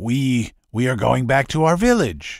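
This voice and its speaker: A put-on character voice at a moderate pace. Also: man. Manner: muttering, timid.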